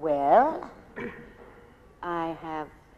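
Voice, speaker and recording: There is audible room echo around a woman speaking at a fairly low pitch. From Australia, Melbourne. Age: 70s. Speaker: actress. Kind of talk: on-stage interview.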